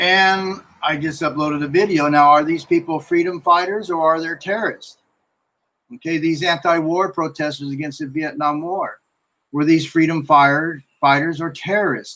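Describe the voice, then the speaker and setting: Bright and sharp in tone, a man's voice sits at a fairly high pitch with fairly even intonation. He speaks with an American accent. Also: moderate pace. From US West Coast, Los Angeles (San Fernando Valley). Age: 60s. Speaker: YouTuber and commentator. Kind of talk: live-stream monologue. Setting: live stream. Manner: casual, hesitant with fillers.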